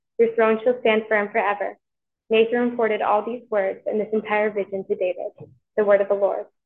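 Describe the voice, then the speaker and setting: This woman talks at a fairly quick pace with a fairly high pitch. Her intonation is flat and monotone. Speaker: scripture reader at Mass. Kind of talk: scripture reading aloud.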